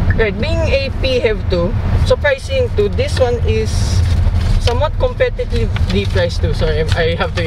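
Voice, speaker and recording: The man speaks at a moderate pace. The sound is dry with no echo, and background noise is noticeable. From Philippines. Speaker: car reviewer. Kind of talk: car review while driving. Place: car. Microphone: phone near.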